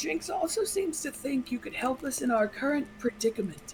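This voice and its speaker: A woman does a put-on character voice, high-pitched, breathy and soft-spoken, at a moderate pace. Clear background noise runs underneath. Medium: actual play. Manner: slow, calm and graceful.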